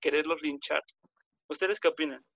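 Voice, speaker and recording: A man speaks in a dry, close sound with no echo. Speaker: podcast host. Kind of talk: casual debate chat. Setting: group call.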